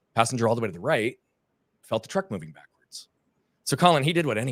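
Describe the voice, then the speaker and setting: At a very fast pace, a man with a medium pitch talks with very wide pitch swings. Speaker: performance coach and speaker. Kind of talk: interview. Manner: animated.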